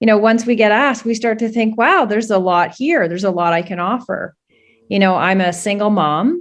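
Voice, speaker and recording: A woman with a Canadian accent talks at a fairly quick pace in a normal speaking voice, fairly high in pitch with lively intonation. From Canada. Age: 50s. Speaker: political candidate. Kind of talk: interview.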